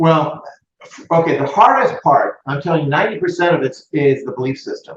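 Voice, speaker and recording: A plain, everyday voice, a man's, fairly high in pitch, with an American accent, lively intonation and a fairly quick pace. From US West Coast. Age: 60s. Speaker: real estate and mortgage business owner. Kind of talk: interview.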